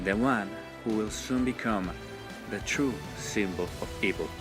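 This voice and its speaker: Over music in the background, a man with a non-native accent speaks at a fairly low pitch with lively intonation. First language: not English. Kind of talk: fan theory video narration. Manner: passionate.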